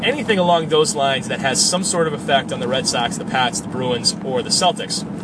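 With noticeable background noise, a man talks at a fairly quick pace with hardly any pauses, using a high pitch, lively intonation and a relaxed tone. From western Massachusetts. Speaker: sports podcast host. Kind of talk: casual monologue. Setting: in a car. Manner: relaxed with frequent fillers.

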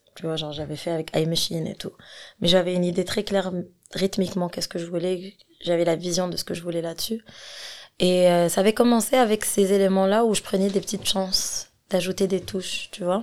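A woman speaks at a medium pitch and a fairly quick pace. Her loudness swings widely while her intonation stays fairly even. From Algeria, Algiers. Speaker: singer and rapper. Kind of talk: casual interview chat. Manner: hesitant, many fillers.

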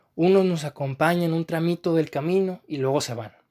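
On a very clean recording with a silent background, a man with a high pitch speaks at a moderate pace in fairly even intonation. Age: 20s. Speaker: podcast host, philosophy student. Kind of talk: reflective monologue. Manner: calm.

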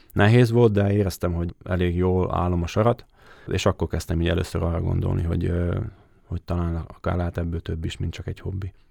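Very deep and low, a man's dark, mellow voice moves at a fairly quick pace with fairly even intonation, in a very clean, dry, close recording with a silent background and no echo. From southern Slovakia, Hungarian minority. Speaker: goalkeeping coach, former goalkeeper. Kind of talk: interview answers. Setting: studio. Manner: halting, hesitant.

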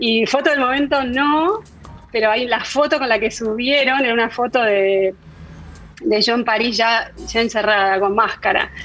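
A woman's voice holds very even loudness with music in the background. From Argentina. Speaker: food technologist. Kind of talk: interview. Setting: video call.

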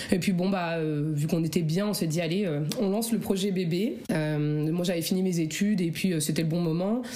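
Audible room echo and noticeable background noise surround the recording. The woman's voice is fairly low in pitch. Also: ordinary pitch variation, moderate pace, hardly any pauses. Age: 30s. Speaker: childcare assistant sharing fertility story. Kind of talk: personal testimony interview. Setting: at home in living room. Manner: hesitant, many fillers.

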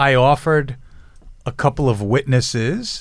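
In a very clean recording with a silent background, a man with a New York accent speaks at a fairly slow pace with ordinary pitch variation. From New York City, Lower East Side. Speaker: defense attorney. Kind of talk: casual chat.

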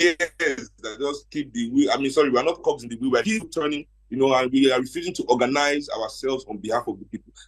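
A man's very fast, fairly high voice in a Nigerian accent, with lively intonation, hardly any pauses, and big swings in loudness. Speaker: panelist. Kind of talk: panel discussion.

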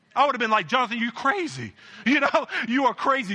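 A man's voice is raised and projected, with a bright, sharp tone. His intonation is lively. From Jamaican family. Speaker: pastor. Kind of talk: sermon. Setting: church.

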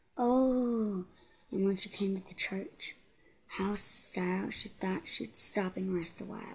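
A woman talks at a very slow pace in a somewhat breathy voice. Her loudness swings widely. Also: medium pitch for a woman, ordinary pitch variation. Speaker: podcast host. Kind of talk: ghost story telling, reading spooky poems aloud in a playful spooky voice. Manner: laughs and stumbles over words, casual, chatty.

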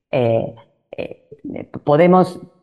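A woman is talking. Her voice sits very deep and low. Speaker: university dean and columnist. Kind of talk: radio interview.

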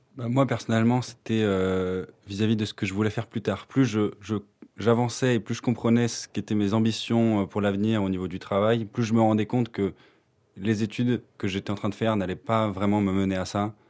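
On a very clean recording with a silent background, a man at fairly low pitch speaks at a moderate pace in a monotone, flat intonation. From France. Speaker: university student. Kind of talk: casual chat.

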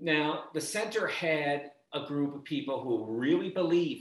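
A man talks in a normal speaking voice, fairly high in pitch. His intonation is lively.

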